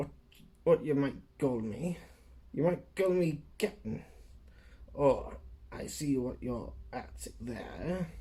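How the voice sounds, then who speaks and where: In a put-on character voice, a man speaks at a very slow pace and fairly high pitch, with long, frequent pauses. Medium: read story. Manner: rough, commanding.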